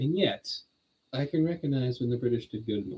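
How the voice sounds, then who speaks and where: At a fairly quick pace, a man speaks at medium pitch with a dark, mellow, somewhat breathy tone and ordinary pitch variation. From Netherlands. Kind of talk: online Bible study stream, casual talk. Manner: animated.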